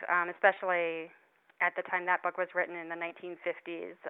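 A woman with a normal speaking voice talks at a fairly low pitch and a moderate pace. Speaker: author. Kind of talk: radio interview.

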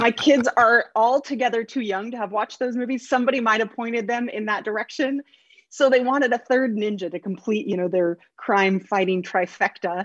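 A woman with an American accent talks at a fairly quick pace in a fairly high pitch, an unremarkable speaking voice. The sound is dry and close with no echo, over a quiet background. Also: ordinary pitch variation. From Oregon, US. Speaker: children's author. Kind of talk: interview.

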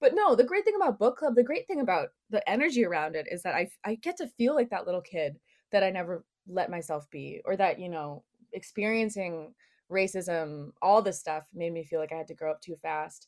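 Very clean recording with a silent background of a woman with an American accent, medium pitch, lively intonation, fairly quick pace and big swings in loudness. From US West, Orange County and southern Utah. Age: 20s. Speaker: poet. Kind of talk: interview. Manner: halting, many fillers.

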